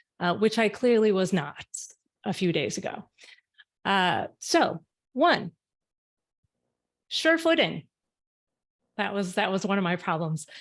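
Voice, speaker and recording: A loud woman speaks fairly slowly, her pitch swinging very widely, with long, frequent pauses. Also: medium pitch for a woman, very clean recording, silent background. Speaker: arbitration lawyer. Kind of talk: panel talk.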